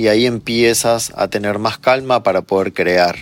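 A man at a medium pitch talks in an unremarkable speaking voice, moving at a moderate speed with ordinary pitch variation. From Argentina. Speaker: psychologist and meditation teacher. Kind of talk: interview.

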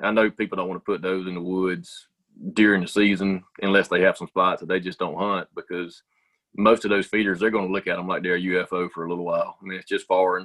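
A man speaks very fast in a Southern US accent. His pitch is very deep and low, and his intonation is monotone and flat. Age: 40s. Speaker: business owner. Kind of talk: casual chat.

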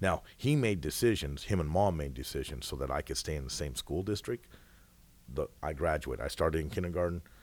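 Using a very deep, low pitch and vocal fry, a man talks at a fairly quick pace. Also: lively intonation. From Washington State, US Pacific Northwest. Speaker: mayor and high school football coach. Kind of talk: casual chat.

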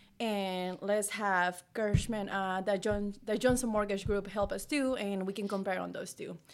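On a very clean recording with a silent background, a woman with a Mexican accent speaks at a moderate pace and medium pitch. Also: hardly any pauses. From Mexico. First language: Spanish. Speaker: realtor. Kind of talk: casual chat. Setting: video recording. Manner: animated.

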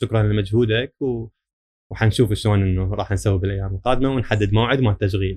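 A man with an ordinary speaking voice talks at a fairly quick pace in a fairly low pitch. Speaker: electrical service engineer. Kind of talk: casual interview chat.

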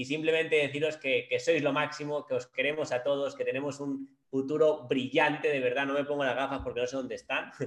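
A man speaks at a fairly quick pace with hardly any pauses, his fairly high pitch held in a monotone, flat intonation. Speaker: network marketing team leader. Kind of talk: motivational talk.

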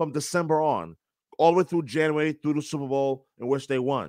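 In a normal speaking voice with an American accent, someone talks at a moderate pace with fairly even intonation, in a very clean, silent-background recording that is dry and close with no echo. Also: man. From New York. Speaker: sports play-by-play announcer. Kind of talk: casual chat.

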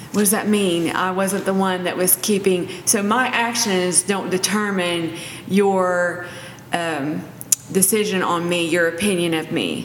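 Delivered at a fairly slow pace, this is an ordinary speaking voice. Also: woman. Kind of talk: casual faith-based discussion.

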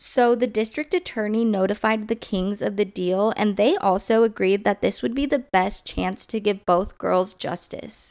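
This woman has a normal speaking voice and talks at a moderate pace with ordinary pitch variation and hardly any pauses. Her recording is very clean, with a silent background. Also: medium pitch for a woman. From Southern California. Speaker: true crime podcast host. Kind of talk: true-crime narration, solemn and scripted-sounding, reading case facts. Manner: serious; measured, even pace.

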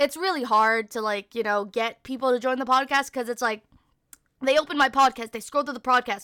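A woman with a high pitch is heard in a dry, close sound with no echo. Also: ordinary pitch variation, fairly quick pace. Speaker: podcast host and streamer. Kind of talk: casual solo chat. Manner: fast talker when nervous; casual, filler-heavy.

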